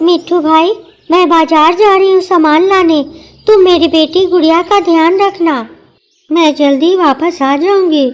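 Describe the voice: Using a cartoonish character voice, a woman speaks at a fairly slow pace with an extremely high pitch and fairly even intonation. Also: very even loudness.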